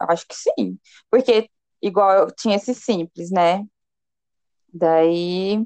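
A woman speaks very slowly at a medium pitch, with ordinary pitch variation and long, frequent pauses. Her tone is dark and mellow, her loudness swings widely, and the sound is dry and close with no echo. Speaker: podcast co-host. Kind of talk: casual chat. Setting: remote call with delay. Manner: talkative, interrupts.

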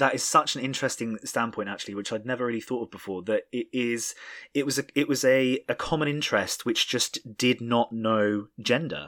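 Recorded very clean over a silent background, with a dry, close sound and no echo, a man with a plain, everyday voice talks fairly quickly at medium pitch with ordinary pitch variation. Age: 20s. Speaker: podcast host. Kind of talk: casual chat.

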